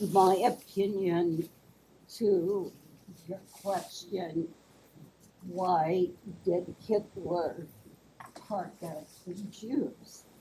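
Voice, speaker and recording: Somewhat breathy and dark, mellow in tone, a woman speaks at a very slow pace in a medium pitch with ordinary pitch variation. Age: 70s. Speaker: audience member. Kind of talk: audience question/comment.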